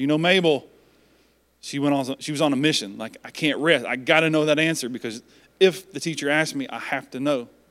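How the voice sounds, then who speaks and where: In a very clean recording with a silent background, a man with a plain, everyday voice and a fairly high pitch speaks at a fairly quick pace with ordinary pitch variation. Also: big swings in loudness. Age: 40s. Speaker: pastor. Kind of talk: sermon. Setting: church.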